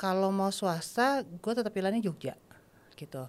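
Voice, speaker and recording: In a very clean recording with a silent background, a woman speaks at a moderate pace in a normal speaking voice, medium in pitch, with lively intonation. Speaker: podcast guest. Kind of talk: casual chat.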